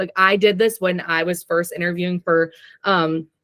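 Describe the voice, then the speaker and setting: In a dry, close recording with no echo, a woman speaks at a fairly slow pace and a medium pitch. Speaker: tech recruiter. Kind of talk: guest talk / presentation. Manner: frequent filler ums.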